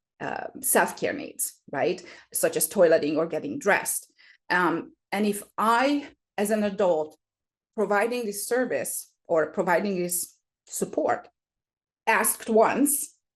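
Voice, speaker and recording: In a quiet setting, a woman with a non-native accent speaks at a very slow pace. Her pitch sits in the middle range, with very wide swings. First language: not English. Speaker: special education specialist. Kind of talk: interview explanation. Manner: hesitant, many fillers.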